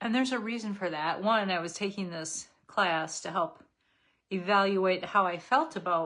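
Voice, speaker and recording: Her pitch is medium and varies in an ordinary way. The woman uses a normal speaking voice at a moderate pace. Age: 60s. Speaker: makeup seller and lifestyle vlogger. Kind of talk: live makeup tutorial with casual chat. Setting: livestream. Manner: casual, conversational.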